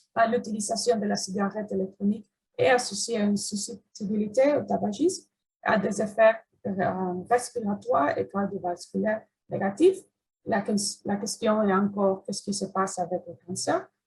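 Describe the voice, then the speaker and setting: A woman with an English accent speaks at a moderate pace with a medium pitch. Her pitch varies in an ordinary way, and vocal fry is present. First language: English (speaking French). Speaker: cancer researcher. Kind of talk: research presentation. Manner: halting, many hesitations.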